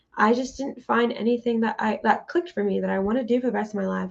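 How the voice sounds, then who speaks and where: A woman with an unremarkable speaking voice talks at a fairly quick pace. Her pitch sits fairly high. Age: 20s. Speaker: podcast co-host. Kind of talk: casual chat.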